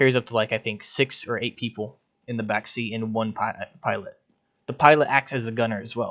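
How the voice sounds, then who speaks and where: Medium pitch from a male speaker, moderate in pace. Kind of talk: casual gaming unit recruitment walkthrough. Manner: hesitant, stumbling.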